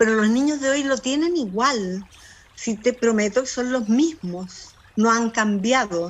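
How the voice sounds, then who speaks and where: Talking at a very slow pace, a woman with a fairly high pitch shows ordinary pitch variation. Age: 70s. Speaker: librarian. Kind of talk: interview conversation. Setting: garden. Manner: animated.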